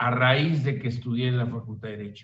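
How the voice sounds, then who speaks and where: A man speaks in a somewhat breathy voice. His intonation is fairly even. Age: 70s. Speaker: law professor and radio host. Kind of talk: lecture.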